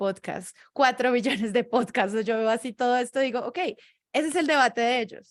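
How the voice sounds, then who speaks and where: Speaking with a Bogotá accent, a woman talks at a fairly quick pace in a fairly high voice with fairly even intonation, on a very clean recording with a silent background. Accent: Bogotá Colombian Spanish, central. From Colombia, Bogotá. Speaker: podcaster, podcast producer. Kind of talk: panel discussion in a virtual event.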